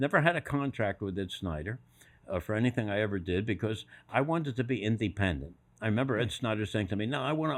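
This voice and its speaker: Speaking at a very fast pace, a man with an American accent uses a fairly low pitch. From Philadelphia. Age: 80s+. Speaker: retired sports executive. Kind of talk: storytelling interview. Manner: animated.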